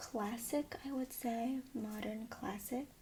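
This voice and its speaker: Soft-spoken, a woman talks in a fairly high pitch. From Taiwan. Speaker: freelance voiceover artist. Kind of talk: casual talk to camera.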